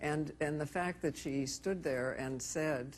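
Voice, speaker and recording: A woman speaks fairly slowly at a very deep, low pitch, with vocal fry. Her pitch varies in an ordinary way. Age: 80s+. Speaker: feminist activist and author. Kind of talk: talk show interview answer.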